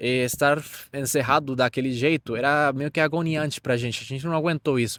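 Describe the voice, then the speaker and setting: The man speaks fairly quickly at a fairly high pitch, with ordinary pitch variation. The recording is very clean, with a silent background, and sounds dry and close with no echo. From Venezuela. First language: Spanish (speaking Portuguese). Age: 20s. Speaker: immigrant interviewee. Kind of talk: interview. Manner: halting.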